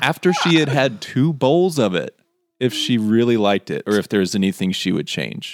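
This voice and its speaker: In a dry, close sound with no echo, a man of medium pitch speaks at a moderate pace with very wide pitch swings. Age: 30s. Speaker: podcast host. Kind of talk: casual chat.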